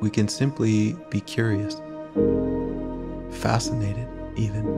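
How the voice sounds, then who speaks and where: Loud music plays in the background. A man speaks at a fairly slow pace. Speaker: meditation guide. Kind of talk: guided meditation. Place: home room. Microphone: earbuds.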